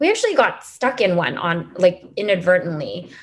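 The speaker has a Californian accent. The pace is moderate. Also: woman. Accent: Californian American English. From US West Coast, Los Angeles. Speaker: expat mother, former refugee agency worker. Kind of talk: interview, casual conversation. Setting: remote call.

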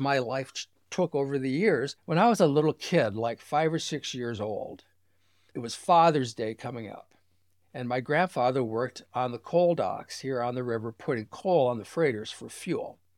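A man with an American accent and a plain, everyday voice talks at a moderate pace, with a fairly high pitch and ordinary pitch variation. The recording is very clean with a silent background, and the sound is dry and close with no echo. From Michigan Upper Peninsula (Sault Ste. Marie). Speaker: book publisher and ship enthusiast. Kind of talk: interview conversation. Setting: lakeside cottage.

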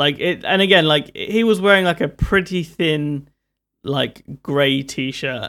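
A man with a London accent talks at a very slow pace. His pitch is fairly high, with ordinary variation. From London, England. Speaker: tech reviewer. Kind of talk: casual chat.

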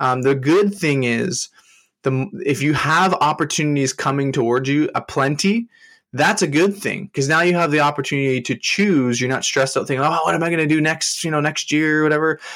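Here is a man with a normal speaking voice and ordinary pitch variation. He talks at a fairly quick pace with very even loudness. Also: fairly high pitch for a man. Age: 20s. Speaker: LinkedIn strategist and entrepreneur coach. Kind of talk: interview. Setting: remote call.

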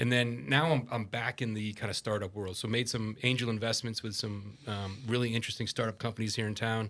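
With an American accent and a plain, everyday voice, the speaker talks at a fairly quick pace with hardly any pauses and fairly even intonation on a very clean recording with a silent background. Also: man, medium pitch for a man. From US Northeast (New Jersey, Massachusetts). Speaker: army veteran and entrepreneur. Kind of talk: casual interview.

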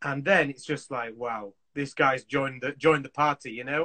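In a Yorkshire accent, a man talks at a moderate pace with a bright, sharp tone, and the sound is dry and close with no echo. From Yorkshire, Leeds. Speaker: assistant director in film and TV. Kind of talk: casual chat. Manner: animated.

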